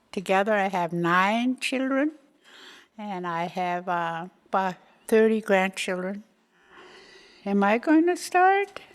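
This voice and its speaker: Speaking at a very slow pace with long, frequent pauses, a woman uses a medium pitch and ordinary pitch variation on a very clean recording with a silent background. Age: 80s+. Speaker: retired community health worker. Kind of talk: oral history interview.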